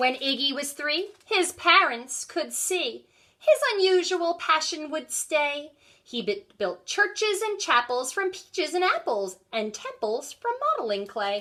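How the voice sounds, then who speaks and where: A woman's squeaky, high-pitched put-on character voice at a fairly slow pace, with very wide pitch swings. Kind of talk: bedtime story. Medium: read story. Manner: sing-song rhyming.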